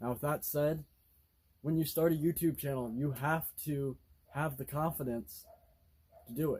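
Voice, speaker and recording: A man's somewhat breathy voice at a moderate pace. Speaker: car enthusiast vlogger. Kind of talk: casual monologue. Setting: filmed on tripod. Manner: halting.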